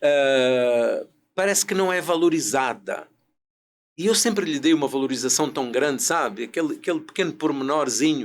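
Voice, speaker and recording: The man's pace is fairly slow, and his intonation is lively. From Portugal, rural interior. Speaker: business consultant and speaker. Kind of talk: podcast interview.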